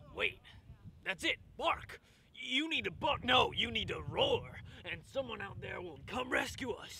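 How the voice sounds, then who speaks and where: A gruff, put-on character voice at a moderate pace, broken by long, frequent pauses. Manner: earnest, folksy, melodramatic.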